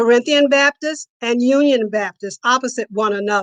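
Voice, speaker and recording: Speaking with an American accent, a woman uses a high pitch and lively intonation at a fairly slow pace, with a dry, close sound and no echo. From Cincinnati, Ohio. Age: 80s+. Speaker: storyteller. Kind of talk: personal storytelling.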